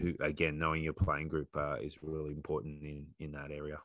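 Against a quiet background, a man with an Australian accent speaks in a very deep, low pitch with a bright, sharp tone and a dry, close sound with no echo. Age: 40s. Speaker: rugby coach and PE teacher. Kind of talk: casual discussion.

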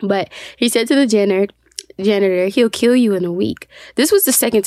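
Natural-voiced reading aloud and an ordinary amount of pitch movement

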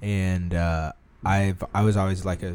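With an American accent, a man speaks in a very deep, low pitch and fairly even intonation. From US Midwest, Omaha, Nebraska. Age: 20s. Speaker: former employee and photographer. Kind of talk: casual chat.

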